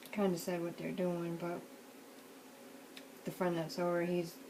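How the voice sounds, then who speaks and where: Quiet and relaxed, a woman with a fairly low pitch speaks in a flat monotone, with audible room echo and noticeable background noise. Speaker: crafting video maker. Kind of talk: casual crafting tutorial chat. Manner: relaxed, meandering.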